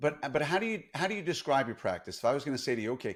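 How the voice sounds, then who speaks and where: Speaking very fast with a New York accent, a man with a fairly high pitch and vocal fry swings his pitch very widely on a very clean recording with a silent background. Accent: flattened New York. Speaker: podcast host, dentist. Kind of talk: podcast interview.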